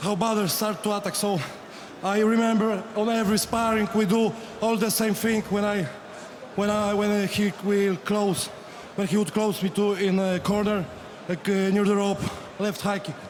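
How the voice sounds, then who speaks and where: A man with a Polish accent speaks in a high pitch at a moderate pace, with a monotone, flat intonation and very even loudness. His long, frequent pauses sit against noticeable background noise. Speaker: kickboxer. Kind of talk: post-fight interview. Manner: halting.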